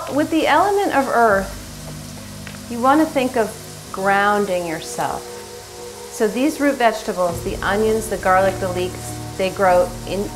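A woman at a fairly slow pace, with faint music in the background. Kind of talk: tutorial. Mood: calm, gentle. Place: kitchen. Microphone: camera far.

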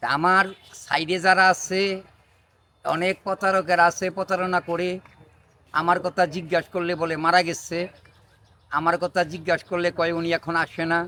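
A man's high, bright, sharp voice stays monotone and flat in a dry, close sound with no echo. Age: 80s+. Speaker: traditional healer. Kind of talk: direct-to-camera public appeal. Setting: outdoors under a neem tree.

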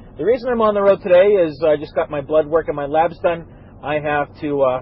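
The sound is dry with no echo as a man talks at a moderate pace. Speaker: podcast host. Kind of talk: casual podcast monologue. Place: car.

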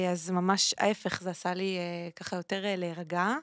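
At a fairly slow pace over a quiet background, the voice keeps a monotone, flat intonation in a dry sound with no echo. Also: woman. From Israel, Ashdod; Israel. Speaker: singer and former radio host; former radio host. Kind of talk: interview conversation. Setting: studio. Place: studio. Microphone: studio mic.

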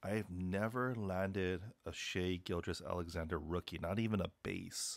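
At a fairly slow pace, a man with a very deep, low pitch talks in fairly even intonation, recorded dry with no echo. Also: quiet background. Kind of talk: casual vlog chat. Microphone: phone near.

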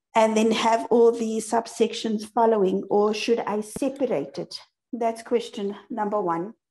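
At a fairly slow pace, a woman speaks with a dark, mellow tone at a fairly high pitch. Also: ordinary pitch variation. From South Africa. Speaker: TV journalist; webinar panelist. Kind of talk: audience question. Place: home room. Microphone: video call.

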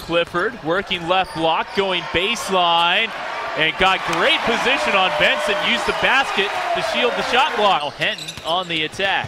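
Against loud background noise, a man speaks at a fairly slow pace in a high pitch with lively intonation, the sound dry with no echo. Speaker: basketball play-by-play announcer. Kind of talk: live commentary. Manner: excitable. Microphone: headset.

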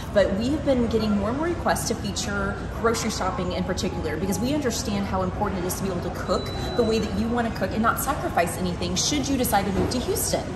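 Over music in the background, a woman talks at a very fast pace. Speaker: local guide host. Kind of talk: casual vlog chat. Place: shop. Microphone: camera far.

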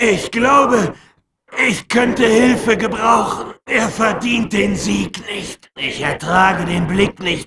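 A man uses a put-on character voice, raspy and raised to project, moving at a very slow pace. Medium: dub. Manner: commanding, menacing.

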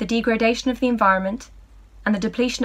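Fairly high in pitch, a woman rattles along at a very fast pace with a somewhat breathy, playful, warm tone. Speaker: voice actor. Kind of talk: voice reel of commercial narration. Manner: polished, bright and upbeat, brisk ad-read delivery.

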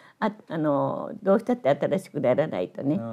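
A woman speaks at a moderate pace with vocal fry and a dark, mellow tone against a quiet background. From Tokushima, Japan. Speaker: novelist and Buddhist nun. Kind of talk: interview answer. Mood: lively, amused, gesturing. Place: home room.

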